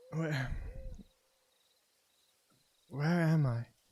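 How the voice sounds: A man puts on a character voice at a fairly high pitch. The voice sounds strained.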